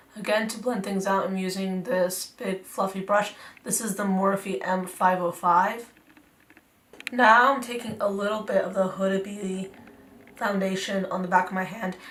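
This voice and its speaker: A woman's medium-pitched voice moves at a moderate pace with fairly even intonation, and noticeable background noise underneath. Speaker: beauty YouTuber. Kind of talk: makeup tutorial talk to camera. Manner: casual, chatty.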